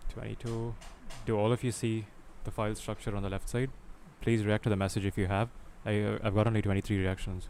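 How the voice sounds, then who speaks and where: Speaking very fast yet with long, frequent pauses, a man uses a fairly low pitch and a monotone, flat intonation. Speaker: programming instructor. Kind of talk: online tutorial. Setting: voice call on Discord.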